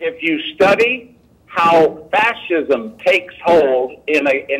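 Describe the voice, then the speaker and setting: Noticeable background noise behind a man speaking in a high register. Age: 70s. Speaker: intelligence agency whistleblower. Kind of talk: political discussion interview.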